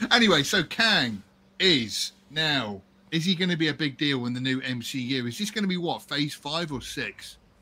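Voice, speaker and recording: The recording is very clean, with a silent background, as a man speaks at a moderate pace with a fairly high pitch. His tone is bright and sharp, and his intonation is lively. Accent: British. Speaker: podcast host. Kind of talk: casual banter, crude humor.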